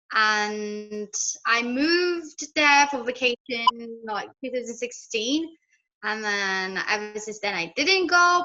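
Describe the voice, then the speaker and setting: With a slight British accent, a woman speaks at a very slow pace in a fairly high pitch, with lively intonation and a bright, sharp tone. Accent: slight British hint. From Ethiopia, Addis Ababa. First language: Amharic. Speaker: language teacher on YouTube. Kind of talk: casual interview.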